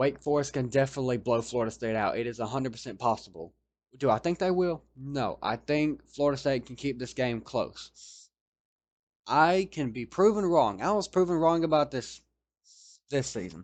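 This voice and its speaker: With lively intonation and a fairly high pitch, a man speaks at a moderate pace in a quiet background. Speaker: college football commentator. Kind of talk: sports preview monologue. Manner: halting, self-correcting.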